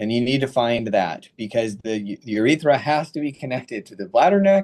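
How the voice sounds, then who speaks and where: A man talks at a fairly quick pace in a normal speaking voice with lively intonation. The background is quiet. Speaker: radiation oncologist, professor. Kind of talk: lecture. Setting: webinar. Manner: casual.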